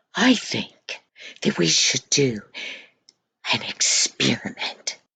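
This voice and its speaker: Whispering, a woman speaks at a very slow pace. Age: old. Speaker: storyteller for children. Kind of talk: reading aloud a story to children.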